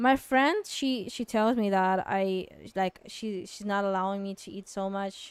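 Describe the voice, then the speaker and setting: A woman talks at a medium pitch with a non-native accent and fairly even intonation. Her loudness swings widely. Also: fairly slow pace. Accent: noticeable foreign. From Kazakhstan. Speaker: artist streamer. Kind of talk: casual Q&A livestream. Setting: livestream. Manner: hesitant, many fillers.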